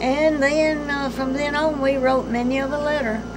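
Loud noise fills the background as a woman talks. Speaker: grandmother. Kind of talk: casual reminiscing in family conversation. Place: home room.

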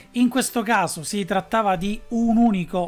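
A man talks at a very slow pace. Faint music plays behind him. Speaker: presenter. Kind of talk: commentary. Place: home room.

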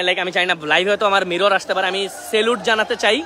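Noticeable background noise sits behind a raised, projected voice. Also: man. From Bangladesh, Netrokona. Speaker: youtuber doing flood relief. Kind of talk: live vlog from relief site. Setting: outdoors, flooded area, by boat. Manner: loud; animated.

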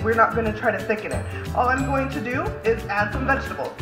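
A woman talks with clear music playing in the background. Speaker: home cooking vlogger. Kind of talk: tutorial. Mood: cheerful, relaxed. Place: kitchen. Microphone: phone near.

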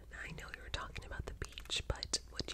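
A soft-spoken woman against loud background noise. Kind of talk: soft-spoken roleplay chat. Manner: soft, close ASMR murmur. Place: home room. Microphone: earbuds.

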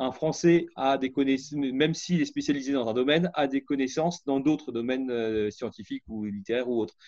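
The sound is dry, with no echo. The tone is dark and mellow. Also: man, quiet background. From France. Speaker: scientist; interviewee. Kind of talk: interview testimony. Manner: halting. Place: home room. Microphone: webcam.

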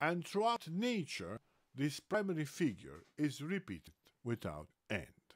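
A man's voice with very wide pitch swings, dry with no echo, against a quiet background. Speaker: book reader. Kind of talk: reading aloud. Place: home room. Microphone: webcam.

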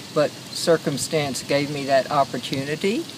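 A woman with an American accent speaks at a fairly slow pace in a dry sound with no echo, over noticeable background noise. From West Texas. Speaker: interviewee. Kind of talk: interview. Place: garden. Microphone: phone near.

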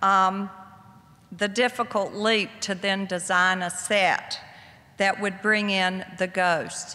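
Here a woman speaks with a Southern US accent. Her pace is very slow and her intonation monotone and flat. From US South. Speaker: author; guest. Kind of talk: lecture. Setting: stage with audience. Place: hall. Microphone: podium.

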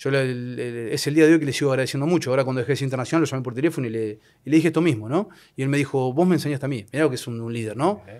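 Speaking very fast with an Argentine accent, the voice shows ordinary pitch variation against a quiet background. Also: man. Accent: Rioplatense Argentine Spanish. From Argentina, La Plata; Argentina. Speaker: football referee; guest. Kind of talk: casual interview chat. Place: studio. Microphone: studio mic.

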